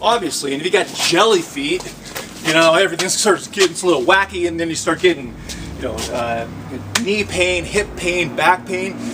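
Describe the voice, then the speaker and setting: Noticeable background noise under a man's high voice, moving at a moderate pace. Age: 70s. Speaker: fitness instructor. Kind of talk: exercise tutorial. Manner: animated; casual, halting.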